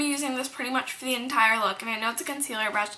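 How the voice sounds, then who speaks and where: A woman speaks in a raised, projected voice. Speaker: beauty vlogger. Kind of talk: makeup tutorial. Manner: casual, filler-heavy.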